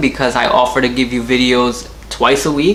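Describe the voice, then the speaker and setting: A man speaks with an American accent. Noticeable background noise runs under his voice. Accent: American with occasional Trinidadian slips. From US, Trinidadian household. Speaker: car YouTuber. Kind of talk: casual Q and A vlog.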